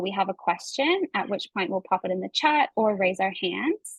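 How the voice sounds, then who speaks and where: Her voice comes across somewhat breathy. This woman keeps to a moderate pace. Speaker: environmental community campaigner. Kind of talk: online workshop presentation. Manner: frequent fillers (um).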